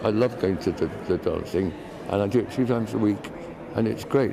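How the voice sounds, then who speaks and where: A man's fairly quick speech with ordinary pitch variation, audible room echo and noticeable background noise. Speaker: dancer living with Parkinson's. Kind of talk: TV interview. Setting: TV studio. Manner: halting, hesitant.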